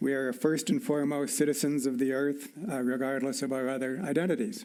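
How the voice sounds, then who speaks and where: A man with an American accent talks in a normal speaking voice at a fairly high pitch and fairly quick pace, with ordinary pitch variation. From US. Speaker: evolutionary scientist. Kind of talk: formal dialogue.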